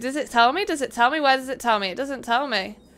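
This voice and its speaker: A woman projects a raised, high voice with a bright, sharp tone over light background noise. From northern England, Manchester. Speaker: gaming streamer. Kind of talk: live game stream chat. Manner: loud; animated. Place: home room. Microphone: headset.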